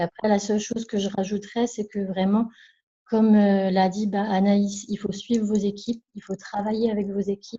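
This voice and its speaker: A soft-spoken woman speaks at a moderate pace with a medium pitch, a somewhat breathy sound and monotone, flat intonation. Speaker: network marketing distributor. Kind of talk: testimony. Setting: video call.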